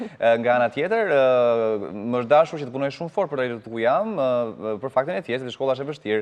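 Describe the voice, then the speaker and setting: Against a quiet background, a man at medium pitch rattles along at a very fast pace with hardly any pauses and ordinary pitch variation. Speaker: TV morning show co-host and interpreter. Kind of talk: live TV interview with interpretation.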